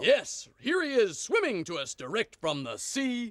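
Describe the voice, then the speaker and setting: A man does a cartoonish character voice at an extremely high pitch and a moderate pace. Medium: puppet show.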